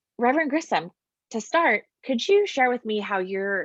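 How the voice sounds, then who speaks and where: In a dry, close sound with no echo, a woman with an American accent uses an unremarkable speaking voice at a fairly high pitch. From US West Coast. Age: 30s. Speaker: campus ministry staff. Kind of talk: interview; scripted presentation.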